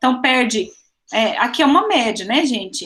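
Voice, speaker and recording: A woman speaks with a high pitch and a bright, sharp tone. Her intonation is lively. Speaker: teacher. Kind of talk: online lecture.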